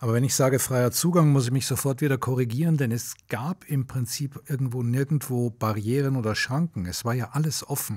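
Somewhat breathy and at a fairly quick pace, a man speaks in a medium pitch with hardly any pauses. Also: ordinary pitch variation. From Munich, Bavaria. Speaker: journalist and filmmaker. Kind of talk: interview. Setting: podcast recording.

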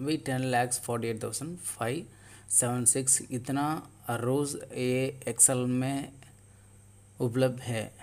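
With a Tamil accent, a man speaks in a monotone, flat intonation, leaving long, frequent pauses. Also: medium pitch for a man. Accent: Tamil-accented Hindi. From Tamil Nadu, India. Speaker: tech tutorial youtuber. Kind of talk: tutorial. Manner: halting.

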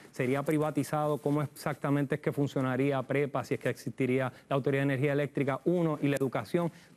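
A man talks at a very fast pace with hardly any pauses. His intonation is monotone and flat, and his loudness very even. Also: fairly high pitch for a man. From Puerto Rico. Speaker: political analyst. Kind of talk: TV interview. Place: studio. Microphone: lapel.

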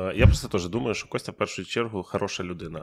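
A man with a very deep, low voice talks fairly quickly on a very clean recording with a silent background. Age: 30s. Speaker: podcast host, stand-up comedian. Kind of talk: casual chat. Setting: studio. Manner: animated.

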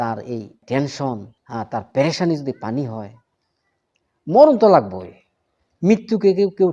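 A man with a fairly high voice, a dark, mellow tone and very wide pitch swings. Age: 60s. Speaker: religious teacher and herbal healer. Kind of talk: informal health talk to followers. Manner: casual, conversational.

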